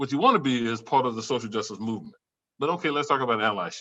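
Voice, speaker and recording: A man speaks at a very fast pace and medium pitch. His tone is bright and sharp, with ordinary pitch variation. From US South. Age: 60s. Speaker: professor. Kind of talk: panel discussion.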